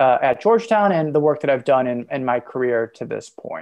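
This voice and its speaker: A man with an enthusiastic tone, lively intonation and a moderate pace, against a quiet background. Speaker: urban planning lecturer and university mission director. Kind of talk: podcast interview.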